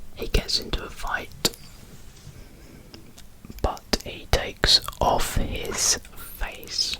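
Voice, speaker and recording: Very slow whispering with noticeable background noise. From Britain. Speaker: ASMR creator. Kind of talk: ASMR show review, rambling talk to camera. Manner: whispered, relaxing.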